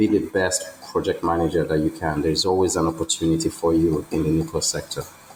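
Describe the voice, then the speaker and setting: A man talks at a very fast pace with hardly any pauses. Noticeable background noise runs underneath. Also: very even loudness. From Nigeria. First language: a Nigerian language. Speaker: electrical engineer. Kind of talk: interview.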